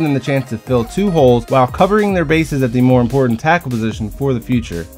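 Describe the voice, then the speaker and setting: A man speaks very fast at a medium pitch with lively intonation while music plays in the background. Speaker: sports commentator. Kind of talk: sports analysis narration.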